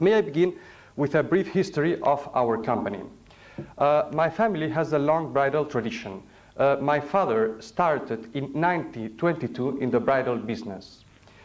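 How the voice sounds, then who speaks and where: With a Spanish accent and lively intonation, a man speaks at a fairly high pitch for a man amid audible room echo. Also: moderate pace. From Spain. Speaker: company chairman. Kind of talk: formal business speech. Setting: hotel conference room with audience. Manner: formal; halting.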